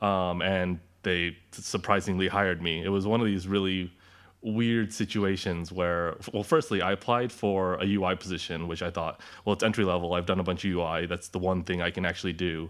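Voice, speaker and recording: A man with an American accent and a very deep, low pitch, at a fairly quick pace with fairly even intonation. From California, Orange County. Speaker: game developer. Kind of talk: interview.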